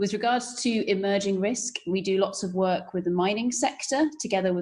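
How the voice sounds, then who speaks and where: Someone with a British accent speaks at a moderate pace with ordinary pitch variation amid noticeable background noise. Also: woman. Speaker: risk management consultant. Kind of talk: panel discussion.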